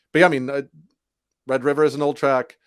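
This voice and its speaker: A very clean, silent-backed recording of a man speaking. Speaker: rock band singer and guitarist. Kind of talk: podcast interview. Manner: halting.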